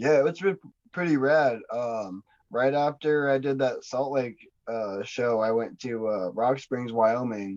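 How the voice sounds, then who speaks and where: A man speaks at a fairly slow pace in an ordinary speaking voice, with an American accent. His pitch is medium, with ordinary pitch variation. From Montana, Kalispell. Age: 30s. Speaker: underground rapper. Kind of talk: casual chat.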